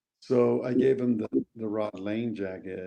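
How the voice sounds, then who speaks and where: With a plain, everyday voice, a man speaks at a fairly low pitch and a fairly slow pace, with fairly even intonation. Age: 60s. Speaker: actor. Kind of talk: interview.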